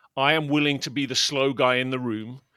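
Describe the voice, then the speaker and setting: A man speaks with a British accent in a fairly high pitch and a bright, sharp tone. The recording is very clean, with a silent background. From Britain. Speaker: podcast co-host, business leader. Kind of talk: casual chat.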